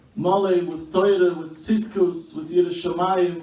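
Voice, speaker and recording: A man's high-pitched, fairly slow speech with audible room echo and noticeable background noise. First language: Yiddish. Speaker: speaker at memorial meal. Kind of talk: memorial speech.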